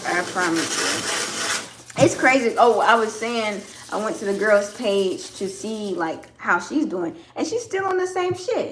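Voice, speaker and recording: A woman with a Southern US accent and a fairly high voice at a fairly slow pace, amid audible room echo and noticeable background noise. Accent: Southern US (Georgia). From US South, Georgia. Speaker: farmer and soap maker livestreaming. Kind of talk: casual livestream chat with viewers. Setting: home livestream while washing carrots. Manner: casual, with hesitations and repetitions.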